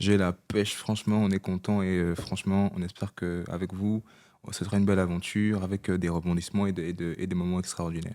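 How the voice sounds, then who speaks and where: Over a very clean recording with a silent background, a man with a very deep, low pitch speaks at a fairly quick pace in a dark, mellow tone with monotone, flat intonation. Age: 20s. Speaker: podcast co-host. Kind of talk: casual chat.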